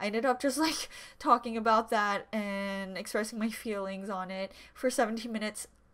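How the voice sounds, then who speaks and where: A woman speaks at a moderate pace with fairly even intonation. The background is quiet. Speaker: YouTube reaction vlogger. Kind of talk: casual direct-to-camera video intro. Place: home room. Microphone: webcam.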